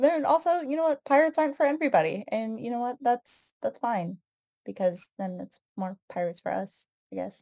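A woman with an American accent speaks at a fairly quick pace in a high but dark, mellow voice, her pitch swinging very widely and her loudness swinging a lot, in a dry, close recording with no echo. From United States. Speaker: writer. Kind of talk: casual chat.

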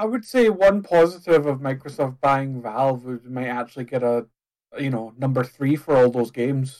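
Moderately paced and at a medium pitch, a man talks in an unremarkable speaking voice. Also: ordinary pitch variation. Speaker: gaming podcast co-host. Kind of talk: casual chat.

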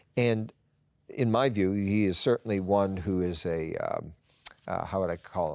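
Using a plain, everyday voice, a man speaks at a fairly slow pace and a fairly low pitch, with ordinary pitch variation. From Newfoundland, Canada. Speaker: lawyer and author. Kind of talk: interview.

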